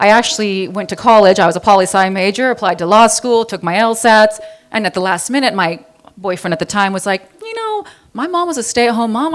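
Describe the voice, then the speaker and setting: Her fairly high voice moves at a fairly quick pace as this woman speaks. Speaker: high school counselor and fitness trainer. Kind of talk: personal introduction talk to an audience. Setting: live event with audience, microphone. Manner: fast; loud.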